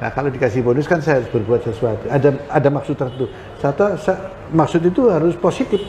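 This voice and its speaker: A man speaks at a very fast pace with a fairly high pitch. His intonation is lively, and noticeable background noise sits behind him. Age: 70s. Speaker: retired police general. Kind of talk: interview. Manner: halting, with fillers.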